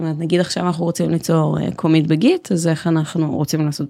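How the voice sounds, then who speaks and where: Very deep, low female speech, dark and mellow in tone. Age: 20s. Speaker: software developer. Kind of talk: casual interview chat. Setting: recording studio, no headphones.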